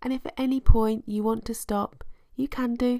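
A warm, dark, mellow tone with fairly even intonation. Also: woman. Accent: British. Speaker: podcast host and meditation guide. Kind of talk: guided meditation. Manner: warm, reassuring and encouraging.

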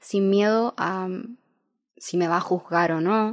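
At a very slow pace, a woman speaks in a monotone, flat delivery at a medium pitch, in a very clean recording with a silent background and a dry, close sound with no echo. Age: 20s. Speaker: podcast host. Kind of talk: monologue.

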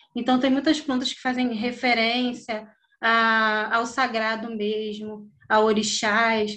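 Pitched fairly high, a woman talks at a very slow pace in a monotone, flat intonation. Her tone is bright and sharp, with audible room echo. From Brazil, Rio de Janeiro (Campo Grande). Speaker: visual artist, printmaker. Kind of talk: casual interview.

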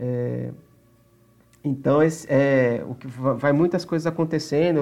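Fairly high-pitched for a man, a dark, mellow voice at a very slow pace against a quiet background. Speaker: podcast host. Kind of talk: casual chat.

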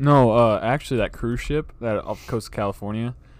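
A man talks at a fairly quick pace in an ordinary speaking voice at a medium pitch. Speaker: podcast co-host. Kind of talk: casual chat. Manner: casual, says bro a lot.

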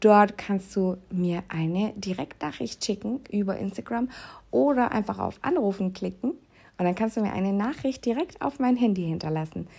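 Lively intonation carries a dark, mellow tone. The voice is somewhat breathy and moves at a moderate pace. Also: woman, medium pitch for a woman. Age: 30s. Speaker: podcast host and health coach. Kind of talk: promotional pitch; personal monologue. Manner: casual, with filler sounds.

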